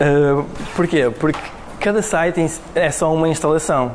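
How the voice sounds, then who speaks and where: Audible room echo and noticeable background noise around a man at a moderate pace. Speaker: web developer, meetup speaker. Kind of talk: tech talk presentation. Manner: halting, many fillers.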